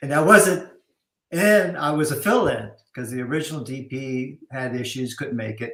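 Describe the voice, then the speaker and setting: This man has an unremarkable speaking voice, fairly high in pitch, at a moderate pace. His intonation is lively, with big swings in loudness. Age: 60s. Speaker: cinematographer. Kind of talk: casual chat.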